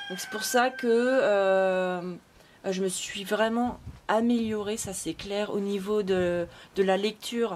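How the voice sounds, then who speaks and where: Very slowly, a woman speaks at a medium pitch with fairly even intonation. Noticeable background noise is present. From France. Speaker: vlogger. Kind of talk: casual vlog monologue. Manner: hesitant, many fillers.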